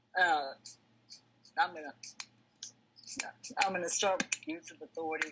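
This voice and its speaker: Noticeable background noise accompanies a woman who speaks at a moderate pace. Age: 60s. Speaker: recovery group member. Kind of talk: testimony. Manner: halting.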